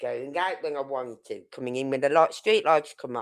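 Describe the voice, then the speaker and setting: The background is silent and the recording very clean. The voice is a woman's. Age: 60s. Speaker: true crime streamer. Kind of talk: live stream commentary. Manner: halting.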